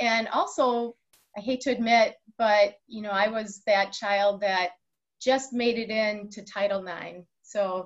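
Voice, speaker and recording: A woman is speaking. The background is quiet. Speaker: guest. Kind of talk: interview answer. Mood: warm, cheerful, laughing. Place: office. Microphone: video call.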